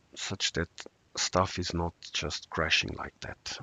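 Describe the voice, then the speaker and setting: A man talking at a very slow pace. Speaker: software developer. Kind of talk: casual live-stream talk while coding. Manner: hesitant, many fillers.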